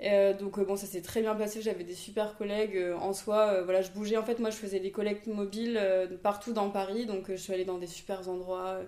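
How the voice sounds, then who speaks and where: Her pitch is medium and her pace moderate. This woman's intonation stays monotone and flat. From Réunion (from age 8, born in Toulouse). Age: 20s. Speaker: entrepreneur, former nurse. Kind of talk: casual interview chat. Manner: hesitant, many fillers.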